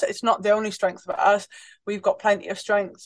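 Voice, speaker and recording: A woman with a northeast English accent speaks at a fairly high pitch against a quiet background. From northeast England. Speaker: international rugby player, team captain. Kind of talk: casual interview chat.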